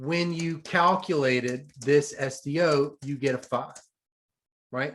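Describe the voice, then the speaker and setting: A strong Southern US accent comes through at a very slow pace. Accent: thick US Southern. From US South. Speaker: economics professor. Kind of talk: lecture. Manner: slow, deliberate.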